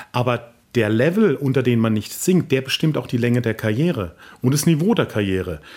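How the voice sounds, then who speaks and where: His pitch swings very widely. The man speaks at a moderate pace. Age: 50s. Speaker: opera tenor and voice professor. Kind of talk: interview.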